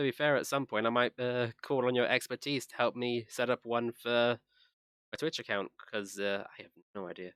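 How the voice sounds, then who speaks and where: In a very clean recording with a silent background and a dry, close sound with no echo, a man speaks at a moderate pace with fairly even intonation and big swings in loudness. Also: medium pitch for a man. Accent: American. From England. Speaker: gaming streamer. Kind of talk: casual chat.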